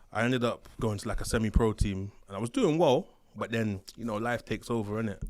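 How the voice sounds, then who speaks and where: A man talks very fast at a medium pitch, with ordinary variation in his pitch. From Bristol, England. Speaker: former prison officer. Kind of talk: interview. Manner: animated.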